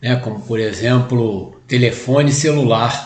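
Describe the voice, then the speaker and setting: Audible room echo surrounds the voice. A man speaks at medium pitch and a fairly slow pace with ordinary pitch variation. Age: 60s. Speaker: spiritist lecturer. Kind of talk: lecture. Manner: halting, many fillers.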